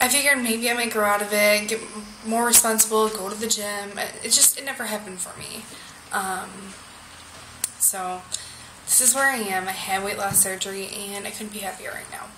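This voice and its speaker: A woman with an American accent talks at a fairly quick pace, medium pitch and fairly even intonation, her loudness swinging widely. Audible room echo and noticeable background noise fill the recording. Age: 20s. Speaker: vlogger. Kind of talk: video diary. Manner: halting, many fillers.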